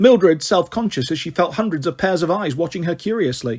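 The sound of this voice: Using lively intonation, a man speaks at a fairly quick pace and fairly high pitch, his slightly mellow tone carrying a slightly husky edge.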